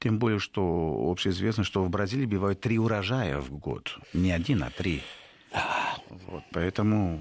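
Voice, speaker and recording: With a Spanish accent, a man with a very deep, low pitch and vocal fry speaks at a fairly slow pace with ordinary pitch variation. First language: Spanish (speaking Russian). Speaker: professor and institute director. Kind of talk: radio interview. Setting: studio. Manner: halting, with hesitations.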